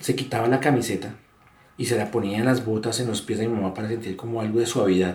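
Somewhat breathy, a man talks at a very fast pace. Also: medium pitch for a man, fairly even intonation. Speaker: son of kidnapping victims. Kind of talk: testimony.

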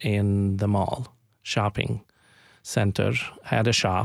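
This man speaks with an Arabic accent at a fairly low pitch. The recording is very clean, with a silent background. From Palestine (Jerusalem). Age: 50s. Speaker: community organization founder. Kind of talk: radio interview. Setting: studio. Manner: halting, many fillers.

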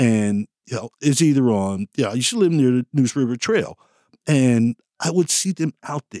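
In a dry, close sound with no echo, a man with an unremarkable speaking voice and medium pitch speaks at a moderate pace. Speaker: running club member. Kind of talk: interview. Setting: studio.

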